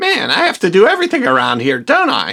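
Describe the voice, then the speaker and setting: This is a cartoonish character voice. It moves at a very fast pace. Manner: sarcastic, offhand.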